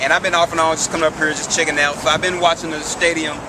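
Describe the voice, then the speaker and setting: A speaker with a strong Memphis accent talks at a very fast pace over noticeable background noise, with audible echo in the room. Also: man. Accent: Southern, country (Memphis), fairly strong. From US South, Memphis, Tennessee. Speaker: interviewee, visitor. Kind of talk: street interview. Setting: outdoors near a stadium. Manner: hesitant, halting.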